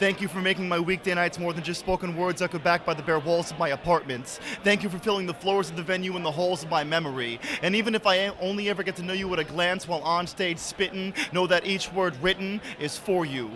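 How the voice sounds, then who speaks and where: A man with a high pitch talks at a very fast pace with ordinary pitch variation, and noticeable background noise can be heard. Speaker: spoken word poet. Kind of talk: spoken word performance. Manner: loud; rhythmic, rapid delivery.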